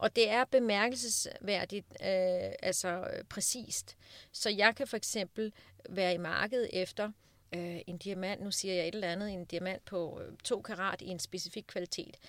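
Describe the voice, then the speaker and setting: On a very clean recording with a silent background and a dry, close sound with no echo, a woman with an unremarkable speaking voice talks at a fairly slow pace with a medium pitch and fairly even intonation. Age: 40s. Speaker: diamond dealer and speaker. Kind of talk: interview. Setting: studio.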